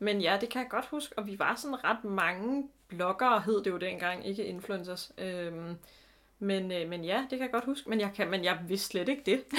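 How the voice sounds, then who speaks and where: A woman speaks at a moderate pace in a normal speaking voice, medium in pitch with ordinary variation. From Denmark, Zealand. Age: 30s. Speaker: podcast co-host. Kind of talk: casual chat. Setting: home bedroom.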